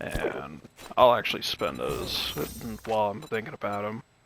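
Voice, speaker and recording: Over music in the background, a man of medium pitch speaks at a fairly slow pace. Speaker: gaming youtuber. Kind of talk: gameplay commentary. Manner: casual, halting with fillers.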